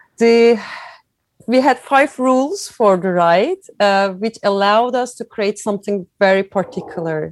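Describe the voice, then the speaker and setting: With a Turkish accent, a woman speaks at a fairly slow pace with ordinary pitch variation in a dry, close sound with no echo. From Turkey (Izmir). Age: 40s. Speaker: cycling event founder. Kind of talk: interview. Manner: halting.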